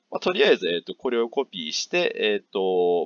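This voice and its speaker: The sound is close and dry, without any echo. A man does the talking. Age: 30s. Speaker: YouTuber, blogger. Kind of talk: tutorial. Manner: hesitant with fillers.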